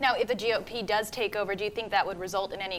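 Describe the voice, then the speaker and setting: A woman talks at a very fast pace with a fairly high pitch and ordinary pitch variation. Noticeable background noise is present. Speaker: news anchor and reporter. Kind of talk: TV news anchor delivery.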